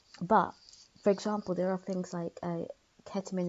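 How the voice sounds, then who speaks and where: A London accent with fairly even intonation. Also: woman. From London, England. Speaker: YouTuber discussing philosophy. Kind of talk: casual vlog monologue. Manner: hesitant, many fillers.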